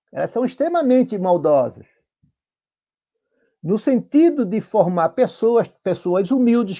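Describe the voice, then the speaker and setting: With a quiet background, a man speaks at a fairly slow pace. His high pitch and dark, mellow tone carry lively intonation. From Santa Catarina, Brazil. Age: 60s. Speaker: union leader. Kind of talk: interview. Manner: halting.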